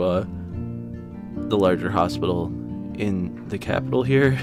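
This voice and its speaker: Over music in the background, a soft-spoken man talks with a very deep, low pitch. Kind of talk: personal audio journal about grief, soft-spoken. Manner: soft-spoken, quiet, somber.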